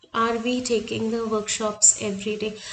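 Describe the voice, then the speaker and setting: With an Indian accent, a woman talks at a moderate pace in a fairly high pitch. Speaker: art teacher. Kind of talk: tutorial.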